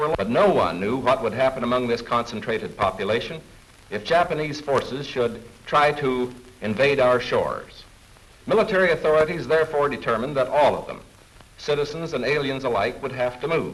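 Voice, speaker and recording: Against noticeable background noise, a man talks fairly quickly at a medium pitch. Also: ordinary pitch variation. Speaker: film narrator. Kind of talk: wartime government newsreel narration.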